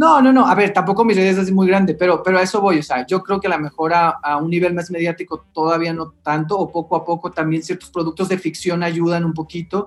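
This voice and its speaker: Pitched high for a man, his voice runs with hardly any pauses and fairly even intonation. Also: fairly quick pace. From Mexicali, northern Mexico. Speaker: theatre YouTuber and reviewer. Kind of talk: casual chat.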